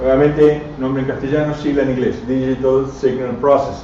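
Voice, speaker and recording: A man talks at a moderate pace. Noticeable background noise and audible room echo surround him. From Argentina, Buenos Aires and Córdoba. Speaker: radio amateur and engineer giving a talk. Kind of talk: technical lecture to a live audience. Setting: club venue with audience.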